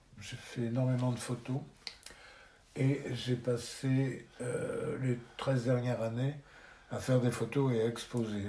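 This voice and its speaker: Audible room echo surrounds a man who speaks fairly slowly, his tone dark and mellow and somewhat breathy. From France, Charente-Maritime (Rochefort). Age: 70s. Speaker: retired photographer. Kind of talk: interview.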